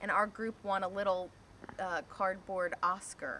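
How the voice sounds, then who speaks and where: Over light background noise, a woman with an unremarkable speaking voice talks at a medium pitch and a fairly slow pace. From Pennsylvania, Delaware County (Media, Springfield); Pennsylvania. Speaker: filmmaker; interviewee. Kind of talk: interview. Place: garden. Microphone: camera far.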